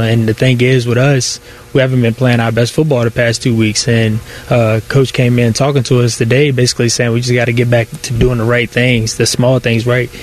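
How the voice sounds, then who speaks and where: Over noticeable background noise, a man talks at a fairly quick pace in a flat monotone, his loudness very even. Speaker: football player. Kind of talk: interview. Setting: team facility. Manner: laid-back, casual, hesitant with fillers.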